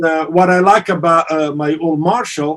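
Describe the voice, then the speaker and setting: With an Italian accent, the speaker talks at a moderate pace with fairly even intonation. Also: man. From Italy. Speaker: amp company partner and guitarist. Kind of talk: podcast interview. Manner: halting, many fillers.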